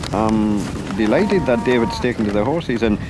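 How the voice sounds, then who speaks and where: With noticeable background noise behind him, a man in a Northumbrian accent talks at a fairly quick pace with very wide pitch swings. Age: 70s. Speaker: farmer. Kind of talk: documentary interview.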